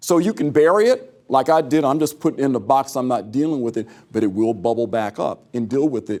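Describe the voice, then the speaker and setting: The speaker has an American accent and a dark, mellow tone. The pace is very fast. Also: man. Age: 60s. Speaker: pro-life advocate and speaker. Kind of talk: conference talk. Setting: conference breakout session with audience.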